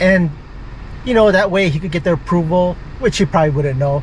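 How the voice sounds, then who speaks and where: A man talks at a fairly quick pace in a high pitch, with ordinary pitch variation. Noticeable background noise runs under his voice. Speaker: vlogger. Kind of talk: casual vlog talk to camera. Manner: mumbling.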